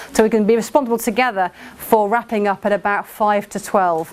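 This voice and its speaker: Amid noticeable background noise, a woman with an English accent speaks at a fairly high pitch with ordinary pitch variation. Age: 40s. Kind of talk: workshop talk. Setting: venue with projector and audience. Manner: fast.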